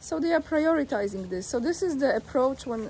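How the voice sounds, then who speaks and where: Light background noise is audible. Over it, a woman talks. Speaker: video blogger commenting on news. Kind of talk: reading an article aloud with commentary. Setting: outdoors. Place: waterside. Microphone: phone near.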